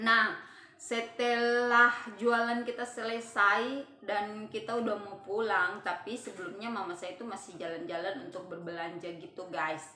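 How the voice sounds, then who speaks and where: Against noticeable background noise and audible room echo, a woman with a fairly high pitch speaks at a fairly slow pace with ordinary pitch variation. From Papua, Indonesia. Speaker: vlogger. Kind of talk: personal storytelling vlog. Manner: casual, with frequent hesitations.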